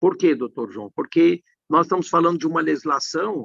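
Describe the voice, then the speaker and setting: A man's voice, dry and close with no echo. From Brazil, Minas Gerais. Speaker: tax law professor. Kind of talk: live stream conversation.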